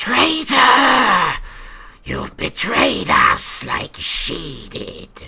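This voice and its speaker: Hissing and growling, a man puts on a character voice at a very slow pace. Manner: accusing.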